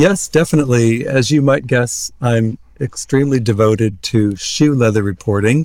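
A man with a Midwestern American accent, medium in pitch with ordinary pitch variation, at a moderate pace with hardly any pauses and very even loudness. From US Midwest, Iowa. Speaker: newspaper editor-in-chief. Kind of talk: interview.

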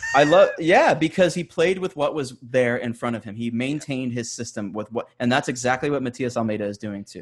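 Using a plain, everyday voice, a man talks at a fairly quick pace and a medium pitch, with ordinary pitch variation, big swings in loudness and hardly any pauses. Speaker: soccer podcast host. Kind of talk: casual chat.

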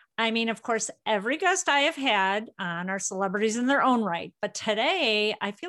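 Speaking at a fairly quick clip with lively intonation, this voice carries a Midwestern American accent over a quiet background. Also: woman. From Illinois. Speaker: podcast host. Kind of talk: casual chat; scripted intro and outro.

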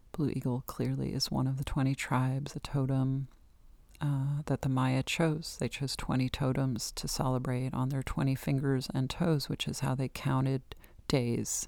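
A speaker with an American accent talks in a monotone, flat intonation on a very clean recording with a silent background. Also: woman, very deep, low pitch for a woman, moderate pace. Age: 50s. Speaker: astrology podcast host. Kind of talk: solo podcast monologue. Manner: casual, conversational.

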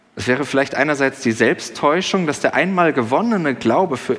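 With lively intonation and a fairly high pitch, a man speaks at a moderate pace amid noticeable background noise. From Germany, Sauerland. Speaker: pastor. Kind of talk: sermon. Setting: church service with congregation. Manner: conversational, with fillers.

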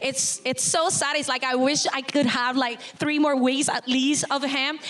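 Over noticeable background noise, a woman talks at a moderate pace with a high pitch. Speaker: former Survivor contestant. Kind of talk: casual live chat on stage. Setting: stage with audience.

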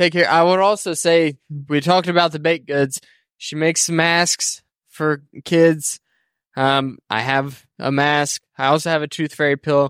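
On a very clean recording with a silent background and a dry, close sound with no echo, a man with an American accent talks at a fairly slow pace in a plain, everyday voice with a fairly high pitch. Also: fairly even intonation. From Indiana. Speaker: podcast co-host. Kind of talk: casual chat. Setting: outdoors.

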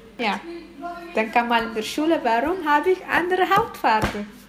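A woman's high voice swings very widely in pitch at a moderate pace, with noticeable noise in the background. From Eritrea. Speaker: interviewee, parent. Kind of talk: interview testimony.

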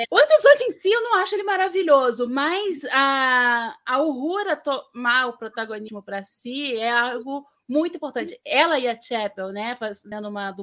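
Speaking at a fairly slow pace with lively intonation, a woman is heard on a very clean recording with a silent background. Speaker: panelist. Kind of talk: casual chat.

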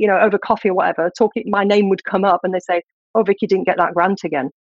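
A woman with a British accent talks at a very fast pace. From UK. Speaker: scientific writer. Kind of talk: interview.

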